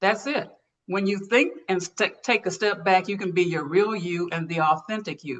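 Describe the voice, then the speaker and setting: A normal speaking voice proceeds at a moderate pace, its pitch varying in an ordinary way. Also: woman. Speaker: leadership speaker and coach. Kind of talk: interview talk presenting a framework.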